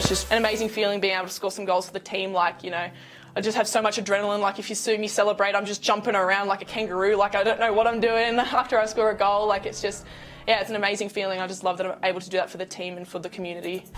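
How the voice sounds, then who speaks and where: A woman with an Australian accent speaks at a very fast pace with a medium pitch. Her intonation is monotone and flat, with big swings in loudness. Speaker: college soccer player. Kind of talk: interview.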